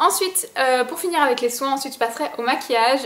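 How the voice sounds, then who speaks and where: Over noticeable background noise, a woman speaks in a high pitch. Her pitch varies in an ordinary way. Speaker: beauty vlogger. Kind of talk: product review vlog. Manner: fast; casual, filler-heavy.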